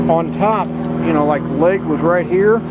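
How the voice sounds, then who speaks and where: Loud background noise surrounds a man speaking at a fairly slow pace. The sound itself is dry with no echo. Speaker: RV vlogger. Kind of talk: casual vlog chat. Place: open country. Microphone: phone near.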